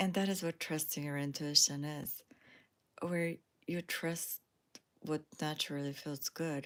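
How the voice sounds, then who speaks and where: Speech comes at a fairly slow pace with long, frequent pauses. The intonation is monotone and flat. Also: woman, very deep, low pitch for a woman. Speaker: spiritual lifestyle YouTuber. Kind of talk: casual livestream monologue. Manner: relaxed, with frequent fillers.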